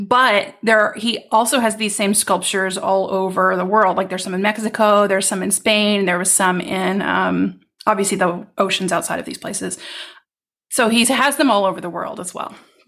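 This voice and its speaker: A woman speaks at a medium pitch with vocal fry. The recording is very clean, with a silent background. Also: moderate pace. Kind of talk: casual interview conversation. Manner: warm, enthusiastic.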